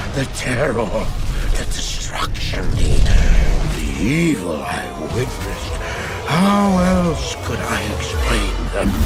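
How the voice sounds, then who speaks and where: Someone talks very slowly in a put-on character voice. Loud noise fills the background. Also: man. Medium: short film. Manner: nervous, stammering.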